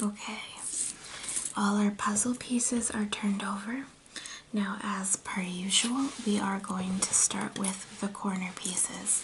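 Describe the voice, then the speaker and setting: The speaker is soft-spoken and talks at a fairly slow pace. Noticeable background noise runs underneath. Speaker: ASMR content creator. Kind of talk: casual talk to camera, ASMR puzzle video.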